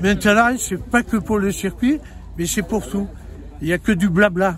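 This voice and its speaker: Crowd noise sits in the background as a man with a high pitch talks at a fairly slow pace with ordinary pitch variation. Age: 70s. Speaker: racing circuit owner. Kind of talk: interview.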